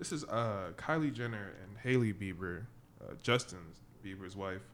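Pitched fairly low with ordinary pitch variation, a man's voice comes through with audible room echo. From Caribbean. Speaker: podcast co-host. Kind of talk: casual chat.

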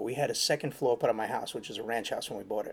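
In a New York accent, a man rattles along at a very fast pace. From New York City (Queens). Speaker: handyman. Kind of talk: casual interview. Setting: venue interview.

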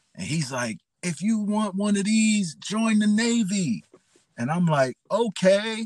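Speaking at a very slow pace with a New York accent, a man uses a high pitch and lively intonation, recorded with a dry, close sound with no echo. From New York City, the Bronx. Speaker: pastor. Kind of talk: testimony.

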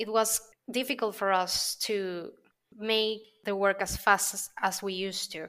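A woman in a Spanish accent speaks at a fairly slow pace and medium pitch, with fairly even intonation and a bright, sharp tone. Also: very clean recording, silent background. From Venezuela. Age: 30s. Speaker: creative copywriter. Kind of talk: interview conversation.

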